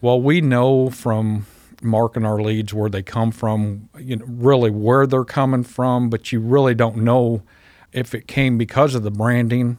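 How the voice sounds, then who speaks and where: A man speaks at a fairly slow pace with medium pitch and a monotone, flat intonation, captured in a very clean recording with a silent background. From Southern California, East LA; teens in Missouri. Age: 50s. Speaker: pest control business owner. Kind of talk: interview. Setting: studio.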